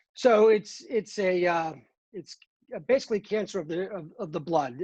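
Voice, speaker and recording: An American accent comes through in a dark, mellow tone. The pace is moderate. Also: man. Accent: Boston, slight, stronger when excited. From Boston, Massachusetts. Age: 50s. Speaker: cancer patient and pharmaceutical employee. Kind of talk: podcast interview. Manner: halting, many fillers.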